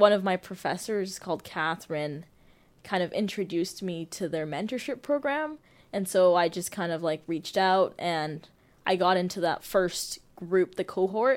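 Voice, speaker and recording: Over a very clean recording with a silent background, a woman with an unremarkable speaking voice and a Canadian accent speaks at a moderate pace and medium pitch with lively intonation. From Toronto, Canada. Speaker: nursing student and varsity soccer player. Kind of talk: interview.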